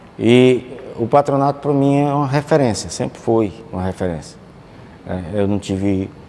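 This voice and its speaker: Using ordinary pitch variation, a man speaks at a moderate pace. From Campo Maior, Piauí, Brazil. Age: 60s. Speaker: former student. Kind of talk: documentary interview testimony.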